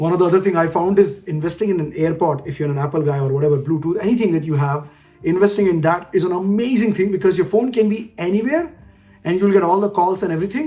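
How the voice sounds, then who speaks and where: A man's high-pitched voice at a very fast pace, with ordinary pitch variation and music in the background. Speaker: leadership coach. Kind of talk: casual tutorial talk in Hindi-English mix.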